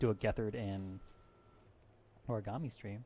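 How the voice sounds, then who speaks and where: A soft-spoken man with a fairly low pitch, a relaxed tone and fairly even intonation. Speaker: live streamer. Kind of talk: casual stream sign-off.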